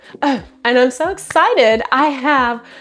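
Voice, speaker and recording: A woman speaks with high pitch. Music plays in the background. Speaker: book YouTuber. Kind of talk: casual chat. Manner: slow; halting.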